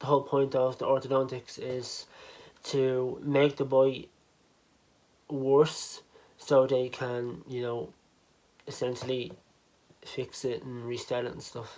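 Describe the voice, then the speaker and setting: A man at medium pitch speaks at a very slow pace in a monotone, flat intonation. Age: 20s. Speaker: vlogger. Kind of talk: personal vlog. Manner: casual, filler-heavy.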